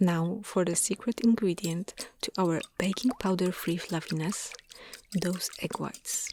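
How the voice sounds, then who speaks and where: This soft-spoken voice moves at a fairly slow pace in a calm tone. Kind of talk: ASMR cooking narration. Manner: soft-spoken, calm.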